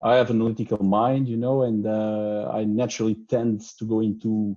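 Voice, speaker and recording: The voice has a dark, mellow tone and a monotone, flat intonation, delivered at a moderate pace. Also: man. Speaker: research grant holder sharing experience. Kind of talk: conference talk. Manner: halting, many fillers.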